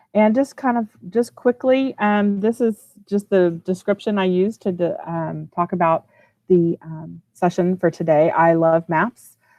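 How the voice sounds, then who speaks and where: In a Texan accent, a woman speaks at a fairly slow pace and medium pitch, with a dry sound with no echo. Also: ordinary pitch variation. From Texas, Houston. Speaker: educational technology trainer, former teacher. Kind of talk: online training presentation. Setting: video call from office. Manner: casual, with many fillers. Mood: enthusiastic, friendly. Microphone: video call.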